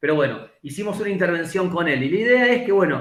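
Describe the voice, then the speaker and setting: Pitch variation here is ordinary. The pace is fairly quick. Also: man. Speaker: physical education professor. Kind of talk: lecture. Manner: fast.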